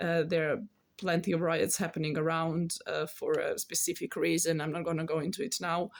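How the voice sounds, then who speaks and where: In a very clean recording with a silent background, a woman with a Serbian accent talks at a fairly quick pace. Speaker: tarot reader and card artist. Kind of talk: casual spiritual talk to camera. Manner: halting, many fillers.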